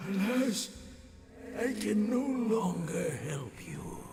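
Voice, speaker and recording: A man does a put-on character voice, high in pitch and very slow, with clear background noise. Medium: game stream. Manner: solemn, formal.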